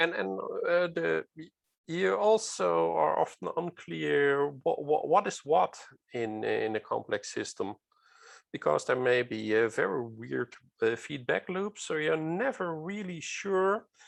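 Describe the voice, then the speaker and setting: Against a quiet background, the speech moves at a fairly slow pace. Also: man. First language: non-native English speaker. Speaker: safety culture speaker. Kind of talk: lecture. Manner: halting, many fillers.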